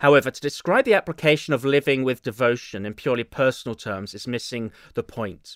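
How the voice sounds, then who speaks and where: On a very clean recording with a silent background and a dry, close sound with no echo, a man speaks at a very fast pace and medium pitch, with ordinary pitch variation and big swings in loudness. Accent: English. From England. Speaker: pastor. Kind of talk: sermon. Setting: church.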